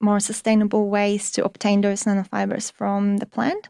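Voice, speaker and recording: A woman's medium-pitched voice with a Polish accent, a dark, mellow tone and monotone, flat intonation, in a very clean recording with a silent background and a dry, close sound with no echo. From Poland. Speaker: materials research assistant. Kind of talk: interview. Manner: hesitant, many fillers.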